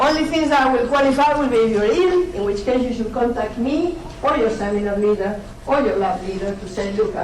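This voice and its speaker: With a Spanish accent and lively intonation, a woman talks at a fairly quick pace amid noticeable background noise and audible room echo. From Spain. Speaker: university lecturer. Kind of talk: lecture. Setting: lecture hall. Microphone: poor audio quality.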